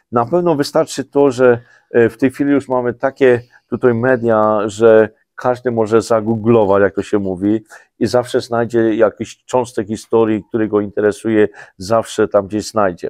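A man with a Polish highland accent at medium pitch and a moderate pace, fairly even in intonation, in a dry sound with no echo against a quiet background. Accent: Polish highlander (góral) dialect. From Poland, Podhale highlands; Poland. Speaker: president of a highlander association; guest. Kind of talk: interview. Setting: studio. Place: studio.

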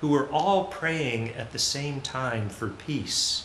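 Male speech with lively intonation at a fairly slow pace, with audible room echo and light background noise. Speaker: pastor leading worship. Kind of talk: welcome and announcements at a service. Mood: warm, earnest. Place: church.

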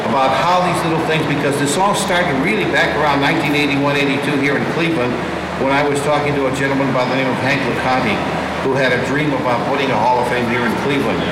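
A man speaks very fast while loud noise and audible room echo fill the recording. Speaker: radio guest. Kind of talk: interview answer. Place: hall.

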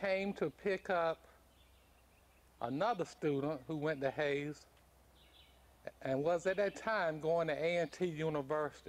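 A man speaks at a very slow pace. His pitch varies in an ordinary way. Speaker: local historian narrator. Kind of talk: documentary narration. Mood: solemn, grave. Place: open country.

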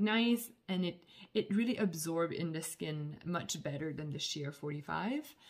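A woman with a somewhat breathy voice speaks at a fairly slow pace with lively intonation. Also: quiet background. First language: not English. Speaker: skincare business owner and reviewer. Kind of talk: product review vlog. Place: home room. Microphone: phone near.

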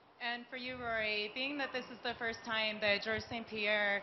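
At a moderate pace and with fairly even intonation, a plain, everyday voice comes through over light background noise. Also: woman. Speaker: MMA journalist. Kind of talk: press conference. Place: hall.

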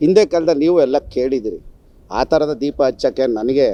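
A man speaks in a dark, mellow tone. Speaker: local journalist and social worker. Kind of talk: press statement rebuttal.

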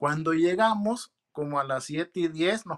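A man talks in an ordinary speaking voice, fairly high in pitch, with lively intonation. The background is quiet. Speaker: naturalized citizen sharing interview experience. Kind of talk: interview, casual testimony. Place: home room. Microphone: video call.

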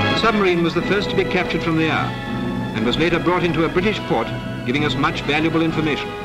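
A man talks at a very fast pace. Loud music plays in the background. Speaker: newsreel narrator. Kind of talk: wartime newsreel narration. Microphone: old recording.

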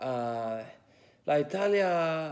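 This man has an English accent and a dark, mellow tone. He speaks at a very slow pace. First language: English (speaking Italian). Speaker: language student. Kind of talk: prepared class presentation; casual spoken-language practice in Italian. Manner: halting, many fillers. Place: home room. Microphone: phone near.

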